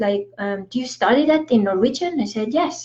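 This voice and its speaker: A woman speaks at a moderate pace with a somewhat breathy voice and ordinary pitch variation. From Estonia. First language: Estonian. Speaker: spiritual coach. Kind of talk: casual talk to camera (live stream). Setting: Facebook live video.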